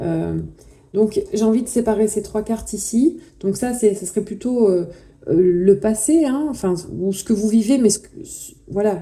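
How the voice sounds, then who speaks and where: A woman's fairly high voice with a dark, mellow tone, ordinary pitch variation, big swings in loudness and a fairly slow pace. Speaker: tarot reader. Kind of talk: tarot reading. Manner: halting.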